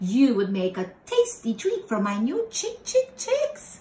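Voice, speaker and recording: High-pitched, fairly slow put-on character voice from a woman. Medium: read story. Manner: clucking.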